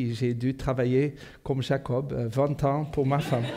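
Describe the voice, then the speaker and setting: A man in a Portuguese accent, medium-pitched with a dark, mellow tone, monotone and flat, at a fairly slow pace. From South Africa. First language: Portuguese (speaking French). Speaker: pastor. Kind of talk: sermon. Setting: church. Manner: halting, many fillers.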